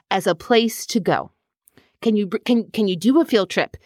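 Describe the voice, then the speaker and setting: A woman with an American accent and a fairly high voice speaks at a moderate pace in a plain, everyday voice, the sound dry and close with no echo on a very clean recording with a silent background. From US, northern Virginia. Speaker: park manager. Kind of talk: interview.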